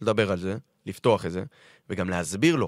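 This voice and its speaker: A man with a fairly low pitch speaks at a moderate pace on a very clean recording with a silent background. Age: 30s. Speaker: football fitness coach. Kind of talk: podcast interview. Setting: radio studio.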